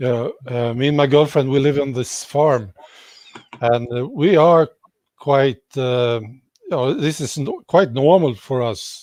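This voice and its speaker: A man speaks with a Swedish accent at a fairly high pitch. His pace is fairly slow and his pitch variation ordinary. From Sweden. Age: 60s. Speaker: YouTube commentator. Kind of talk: casual interview.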